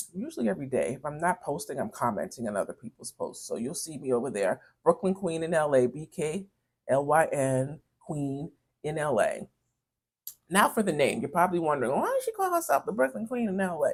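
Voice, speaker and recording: A woman in a New York accent at a fairly quick pace. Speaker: beauty vlogger. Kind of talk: casual chat while doing makeup. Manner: chatty, conversational; hesitant, many fillers.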